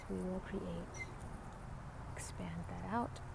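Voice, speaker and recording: Soft-spoken, a woman whispers at a very slow pace. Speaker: reiki healer. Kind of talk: ASMR reiki session. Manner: soft-spoken, whispered.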